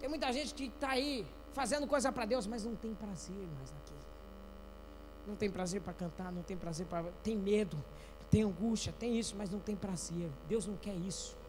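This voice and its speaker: Amid noticeable background noise and audible room echo, a man with a high pitch speaks at a moderate pace with ordinary pitch variation and long, frequent pauses. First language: not Portuguese (speaking Portuguese). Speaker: pastor. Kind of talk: sermon. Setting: church. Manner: animated.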